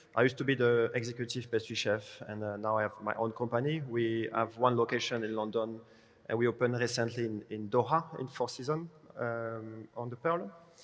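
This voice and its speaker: Here is a man with a French accent. He keeps his intonation fairly even. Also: medium pitch for a man, fairly quick pace. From France. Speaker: pastry chef, consultant. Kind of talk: panel discussion.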